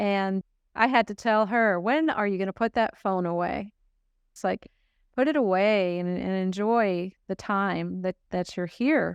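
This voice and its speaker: An ordinary speaking voice at a fairly slow pace with ordinary pitch variation, dry and close with no echo, over a quiet background. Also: woman, medium pitch for a woman. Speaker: podcast host. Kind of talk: casual podcast conversation.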